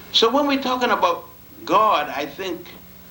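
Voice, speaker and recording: A man talks at a fairly slow pace, his pitch swinging very widely. There is audible room echo and noticeable background noise. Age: 70s. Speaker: lecturer on African history. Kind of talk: lecture.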